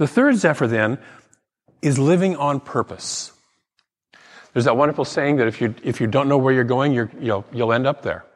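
At a moderate pace, a man with a medium-pitched voice and ordinary pitch variation speaks with long, frequent pauses. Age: 60s. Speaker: minister. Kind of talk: sermon. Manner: conversational.

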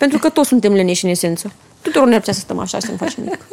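Noticeable background noise sits behind a woman speaking at a very fast pace. Her fairly high voice carries lively intonation. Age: young. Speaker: entrepreneur and mother. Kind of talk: casual chat.

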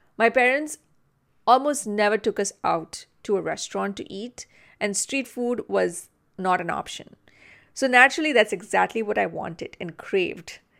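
On a very clean recording with a silent background, a woman with fairly high pitch and vocal fry talks at a moderate pace, her intonation lively and her loudness swinging widely. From India (Mumbai). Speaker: podcast host, Ayurvedic practitioner. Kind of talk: solo podcast monologue.

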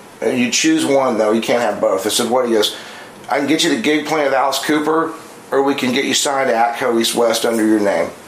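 Amid noticeable background noise and audible room echo, a man speaks at a fairly quick pace and medium pitch, with fairly even intonation and very even loudness. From moved around as a military child, US and abroad. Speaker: guitar amp builder and guitar demo player. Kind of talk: casual chat. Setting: guitar shop.

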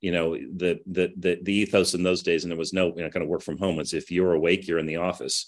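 A man with a Midwestern accent speaks at a fairly quick pace. His very deep, low voice comes over a quiet background. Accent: General American (Midwest). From US Midwest, Kansas City. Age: 50s. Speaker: business executive. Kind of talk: interview. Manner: halting, many fillers.

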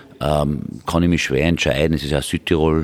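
Speaking at a fairly quick clip, a man uses a very deep, low voice with flat, monotone intonation. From Tyrol, Austria. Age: 50s. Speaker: politician, member of parliament. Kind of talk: interview answers.

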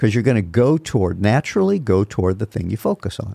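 The recording is very clean, with a silent background and a dry, close sound with no echo. A man with a dark, mellow tone talks at a very fast pace. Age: 60s. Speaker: podcast co-host, father and pastor-like mentor. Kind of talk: casual chat.

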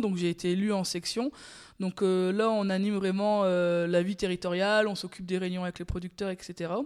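A woman with an ordinary speaking voice, medium in pitch, at a moderate pace. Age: 30s. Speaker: dairy farmer. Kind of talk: interview. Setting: on her farm.

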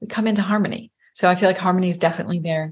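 This woman's voice sits at a medium pitch with ordinary variation. It is somewhat breathy. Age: 50s. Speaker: life coach. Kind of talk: casual interview chat.

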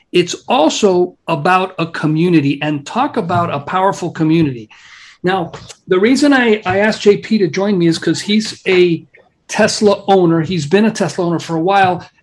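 Pitched high for a man, his voice shows ordinary variation in pitch. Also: moderate pace. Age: 50s. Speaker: podcast host. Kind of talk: casual chat.

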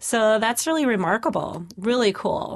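A woman has an unremarkable speaking voice with lively intonation. She talks at a moderate pace. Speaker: podcast host. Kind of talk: interview.

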